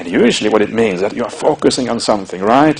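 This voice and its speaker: Over noticeable background noise, a man with a Norwegian accent talks at a very fast pace with ordinary pitch variation. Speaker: Buddhist monk and meditation teacher. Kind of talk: dharma talk. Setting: meditation retreat. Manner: halting, many fillers.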